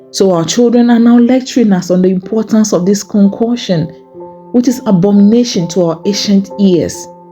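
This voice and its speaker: Music plays in the background. Over it, a woman talks at a medium pitch. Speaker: poet. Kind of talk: spoken word poetry reading; prayer poem.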